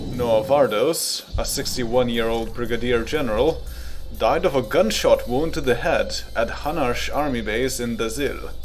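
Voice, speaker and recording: There is music in the background. A man speaks over it at a moderate pace. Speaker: news anchor. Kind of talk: radio news broadcast read.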